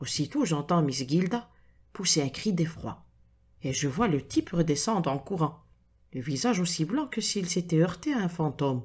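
The delivery is dramatic and somewhat breathy, with lively intonation at a moderate pace. The recording is very clean, with a silent background. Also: woman, fairly low pitch for a woman. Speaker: audiobook narrator. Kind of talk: reading aloud a detective story with character voices. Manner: dramatic, suspenseful narration with atmospheric pacing.

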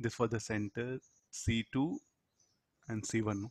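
With an Indian accent, a man talks in a fairly even intonation. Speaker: physics teacher. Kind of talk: lecture. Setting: video call. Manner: interactive, asks students questions.

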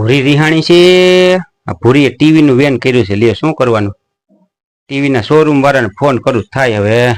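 A man's normal speaking voice with ordinary pitch variation. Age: 50s. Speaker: comedian. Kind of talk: prank call comedy.

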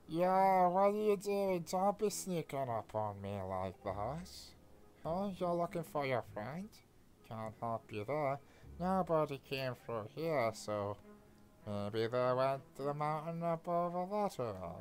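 In a put-on character voice with a low-to-middle pitch, the speaker goes at a fairly slow pace. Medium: game stream.

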